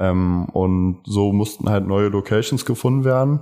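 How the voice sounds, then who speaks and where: Over a silent background in a very clean recording, a man speaks fairly slowly with a fairly low pitch and a dark, mellow tone. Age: 20s. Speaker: fashion marketing student and event organizer. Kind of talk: interview.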